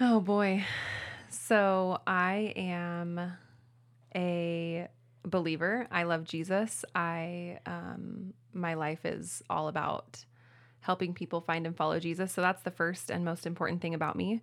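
Very slow, fairly low-pitched female speech in an American accent, ordinary pitch variation, on a very clean recording with a silent background. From Spokane, Washington, US. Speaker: pastor. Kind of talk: casual interview chat. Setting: studio, drinking rosé.

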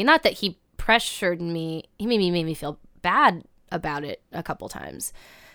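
A woman speaks with a Midwestern US accent at a medium pitch, her pitch varying in an ordinary way, on a very clean recording with a silent background. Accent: General American, Midwestern. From US Midwest, Cincinnati, Ohio. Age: 20s. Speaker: writer and comedian. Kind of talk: personal storytelling interview. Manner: casual, hesitant with fillers.

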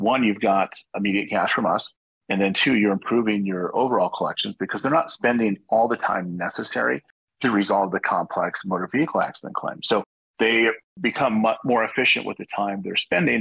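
In an ordinary speaking voice, a man talks fairly quickly at a medium pitch with ordinary pitch variation, the sound dry and close with no echo. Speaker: company executive. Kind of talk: sponsored interview.

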